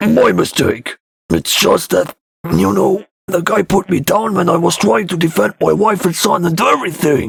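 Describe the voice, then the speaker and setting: Using a put-on character voice, a man talks at a moderate pace in a raspy, high-pitched tone with very even loudness. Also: dry, close sound with no echo. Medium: read story. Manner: crude, blustering.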